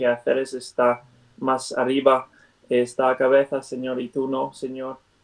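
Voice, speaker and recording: A man with a non-native accent speaks at a very slow pace in a medium pitch, his intonation monotone and flat. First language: not Spanish (speaking Spanish). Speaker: Bible study teacher. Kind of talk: Bible study; prayer. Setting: video call. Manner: halting, many fillers.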